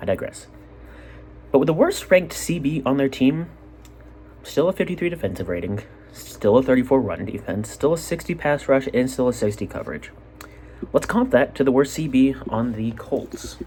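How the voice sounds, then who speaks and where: A medium-pitched man with an American accent, animated tone and lively intonation, at a moderate pace with long, frequent pauses. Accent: drops T sounds. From Utah. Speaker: sports podcaster. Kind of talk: casual solo sports commentary. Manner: animated, rambling asides.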